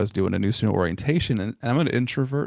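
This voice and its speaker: A man rattles along at a very fast pace while the background stays quiet. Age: 40s. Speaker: podcast host and college staff. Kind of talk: casual interview chat.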